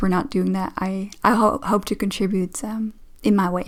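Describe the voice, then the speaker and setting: With a Dutch accent, a woman speaks with ordinary pitch variation. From Netherlands. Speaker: relationship coach. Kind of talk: reaction commentary. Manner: hesitant, many fillers.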